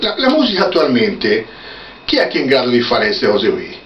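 A man talks at a very fast pace with very wide pitch swings. Audible room echo and light background noise surround him. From Tuscany, Italy. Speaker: luthier. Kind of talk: casual chat. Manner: animated. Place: workshop. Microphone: camera far.

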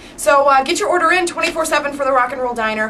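Over faint background noise, a woman talks fast at a high pitch with a bright, sharp tone. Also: ordinary pitch variation.

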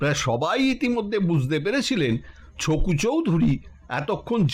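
What comes through is a natural reading voice.

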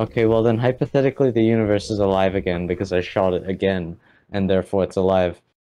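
A man with a dark, mellow tone and fairly low pitch talks at a very fast pace with very even loudness. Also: ordinary pitch variation. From New Zealand. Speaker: podcast co-host. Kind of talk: casual chat; role-play game narration.

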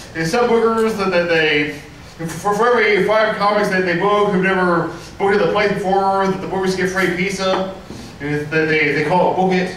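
A man's high-pitched voice at a moderate pace, with ordinary pitch variation, audible room echo and light background noise. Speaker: open mic comedian. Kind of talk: stand-up comedy routine. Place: stage.

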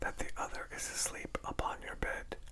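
A soft-spoken voice whispers at a fairly slow pace. Noticeable background noise sits behind it. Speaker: reader. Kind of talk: reading aloud from a book. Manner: soft ASMR whispered reading.

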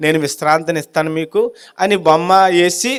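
A man with fairly even intonation has an unremarkable speaking voice. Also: very clean recording, silent background. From India, Kakinada area (Andhra Pradesh). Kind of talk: testimony.

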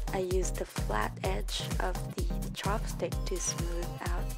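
Clear music plays in the background as the woman talks. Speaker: college student. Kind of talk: casual makeup tutorial narration. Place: home room. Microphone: webcam.

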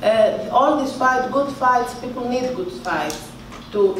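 With a Greek accent and ordinary pitch variation, a woman is heard with light background noise and audible room echo. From Greece. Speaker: boxer. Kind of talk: press conference answers. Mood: calm, determined. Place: hall.

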